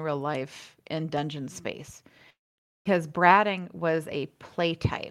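A woman with an American accent speaks at a fairly slow pace in a fairly low pitch. Her intonation is fairly even, with big swings in loudness. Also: very clean recording, silent background. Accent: Southern American, shows at times. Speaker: podcast co-host. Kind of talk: casual chat.

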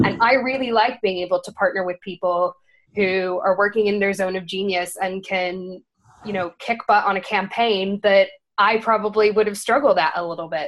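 An ordinary speaking voice with an American accent, at a moderate pace and with fairly even intonation. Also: woman, medium pitch for a woman. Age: 20s. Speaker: marketing agency founder. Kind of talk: casual interview.

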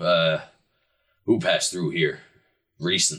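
A raspy, put-on character voice delivered at a moderate pace. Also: man. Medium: actual play. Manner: loud, genial.

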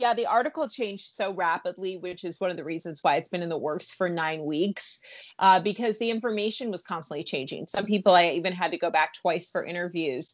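Moving at a fairly quick pace with hardly any pauses, a woman talks in an ordinary speaking voice. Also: medium pitch for a woman, ordinary pitch variation. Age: 40s. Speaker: entertainment and food journalist. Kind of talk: podcast interview.

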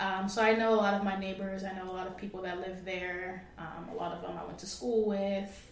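A woman with an American accent, monotone and flat, big swings in loudness, hardly any pauses, noticeable background noise behind her. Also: medium pitch for a woman, fairly quick pace. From US South, North Carolina. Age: 20s. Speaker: real estate agent. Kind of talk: casual chat.

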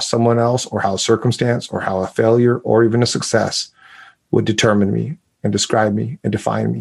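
At a fairly quick pace, a man with an American accent and a plain, everyday voice speaks at a medium pitch with fairly even intonation. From US, lived in Mexico as a child, then US. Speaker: speaker and communication coach, author. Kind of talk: interview conversation.

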